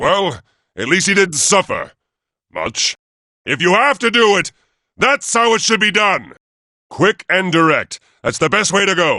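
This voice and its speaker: A put-on character voice moves at a moderate pace with long, frequent pauses. The background is quiet. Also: man, high pitch for a man. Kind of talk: video game combat barks. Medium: video game. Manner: commanding, authoritative.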